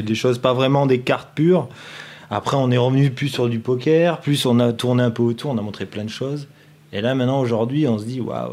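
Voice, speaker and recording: Fairly quick speech from a man with a medium pitch, a dark, mellow tone and fairly even intonation. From southeast France, Nice hinterland. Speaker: video director for a poker company. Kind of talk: casual chat.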